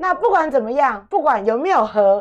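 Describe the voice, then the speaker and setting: Against a quiet background, a woman speaks fairly slowly, her pitch swinging very widely. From Taiwan, Taipei; Taiwan. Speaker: radio host. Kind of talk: radio interview. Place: studio. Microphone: studio mic.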